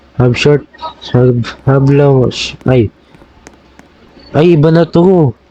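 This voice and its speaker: With long, frequent pauses, a man speaks at a very slow pace in a fairly high pitch with ordinary pitch variation, over noticeable background noise. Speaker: gaming youtuber. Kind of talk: gameplay commentary. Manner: animated; halting.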